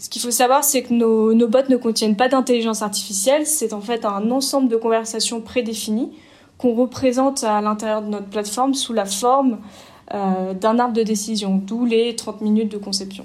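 A woman's fairly high pitch, fairly even intonation and moderate pace come through in an ordinary speaking voice. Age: 30s. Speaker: startup CEO. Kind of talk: interview.

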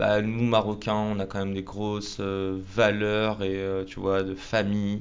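In a room with audible echo, a man speaks at a fairly low pitch with monotone, flat intonation. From Paris. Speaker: podcaster and entrepreneur. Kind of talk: casual interview. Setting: office studio.

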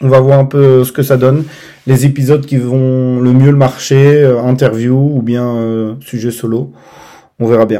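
Fairly slow and flat in a monotone, a man speaks at a medium pitch with a dark, mellow tone. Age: 30s. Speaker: podcast host. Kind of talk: solo podcast introduction. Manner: casual, hesitant with fillers.

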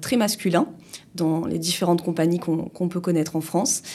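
Through noticeable background noise, a woman with a fairly low pitch talks at a fairly quick pace. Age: 30s. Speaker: insurance agent and business owner. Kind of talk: interview. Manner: hesitant, many fillers.

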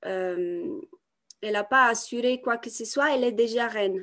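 A woman at a fairly slow pace with lively intonation, against a quiet background. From Italy. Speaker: women's coach and artist. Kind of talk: podcast interview. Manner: halting, many repetitions and fillers.

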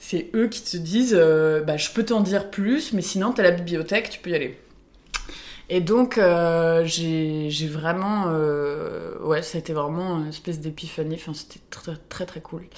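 A woman with a fairly low pitch speaks fairly slowly in a plain, everyday voice. Her pitch varies in an ordinary way, while her loudness swings widely. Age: 20s. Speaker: ceramicist. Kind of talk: interview. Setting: workshop.

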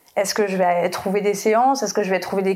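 At a fairly quick pace, a woman with a plain, everyday voice speaks at a medium pitch with fairly even intonation. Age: 30s. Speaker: photographer. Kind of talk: casual chat.

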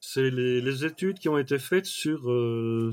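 On a very clean recording with a silent background, a man speaks with ordinary pitch variation in a dry, close sound with no echo. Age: 60s. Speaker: trainer and mind mapping expert. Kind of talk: casual interview. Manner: hesitant, many fillers.

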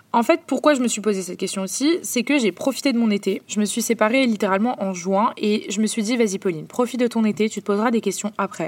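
Hardly pausing at all, a woman speaks at a very fast pace and a fairly high pitch. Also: ordinary pitch variation. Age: 20s. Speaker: podcast host. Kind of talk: personal monologue. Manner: casual.

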